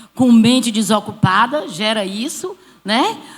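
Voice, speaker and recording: A woman's voice, somewhat breathy, moves at a fairly slow pace. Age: 60s. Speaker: church small-group leader. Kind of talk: church panel testimony.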